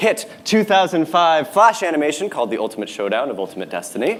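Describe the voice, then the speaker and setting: A man speaks with a fairly high voice as noticeable background noise carries on. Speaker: internet content creator and musician. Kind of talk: presentation talk. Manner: hesitant, many fillers.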